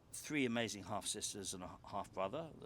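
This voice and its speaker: With lively intonation, a man talks at a moderate pace in an unremarkable speaking voice. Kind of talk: interview answer.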